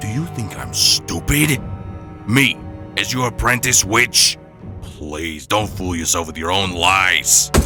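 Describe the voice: Putting on a character voice, a man speaks very deep and low at a fairly slow pace while music plays clearly in the background.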